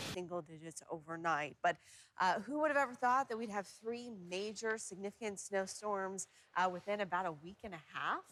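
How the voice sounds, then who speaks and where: A woman with an unremarkable speaking voice talks at a moderate pace and medium pitch. Her intonation is lively. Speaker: chief meteorologist. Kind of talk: TV weather segment banter. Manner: friendly, upbeat.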